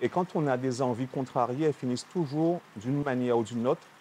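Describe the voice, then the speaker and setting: A man at a medium pitch, fairly quick, with ordinary pitch variation. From Guadeloupe. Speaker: chef. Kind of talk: TV interview.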